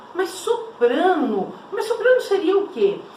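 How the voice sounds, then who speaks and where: A woman speaks at a very slow pace with very wide pitch swings, over noticeable background noise and audible room echo. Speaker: school art teacher. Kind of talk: online class lecture. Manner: conversational, with many fillers and self-corrections.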